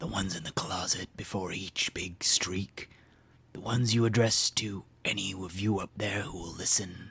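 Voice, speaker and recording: A man's raspy, whispering put-on character voice at a moderate pace. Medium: read story. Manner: terse, flat, unhurried.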